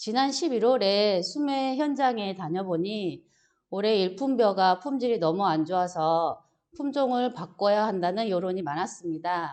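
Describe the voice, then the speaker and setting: Lively intonation at a fairly slow pace. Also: woman, medium pitch for a woman. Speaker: agricultural extension instructor. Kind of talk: lecture.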